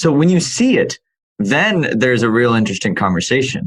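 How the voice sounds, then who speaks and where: Here a man talks with very wide pitch swings. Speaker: podcast host. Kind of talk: interview question.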